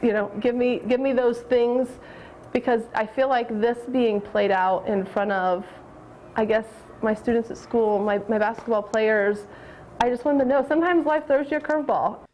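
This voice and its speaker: Over light background noise, a woman with an American accent speaks at a moderate pace with long, frequent pauses, her fairly high pitch showing ordinary variation and her loudness staying very even. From US Midwest, west-central Indiana. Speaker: high school basketball assistant coach. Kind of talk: news interview soundbite. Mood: emotional, reflective. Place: hall.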